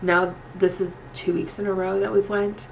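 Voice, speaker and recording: A woman with an American accent at a fairly quick pace, amid audible room echo and noticeable background noise. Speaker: makeup youtuber. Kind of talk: tutorial. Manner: fast; casual, chatty.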